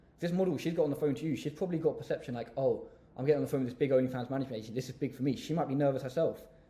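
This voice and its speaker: Speaking at a very fast pace in an English accent, a man with a dark, mellow, somewhat breathy tone shows ordinary pitch variation. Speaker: business coach youtuber. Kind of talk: tutorial. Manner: confident.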